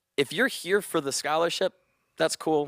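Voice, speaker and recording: Energetic American-accented male speech at a moderate pace, dry and close with no echo, on a very clean recording with a silent background. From Chicago. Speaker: radio DJ. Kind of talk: career talk to students. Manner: loud; casual, energetic.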